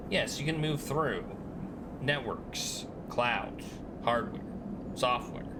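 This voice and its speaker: Whiny, robotic put-on character voice from a man of medium pitch at a very slow pace, over loud background noise. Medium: game stream. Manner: terse, broken phrasing.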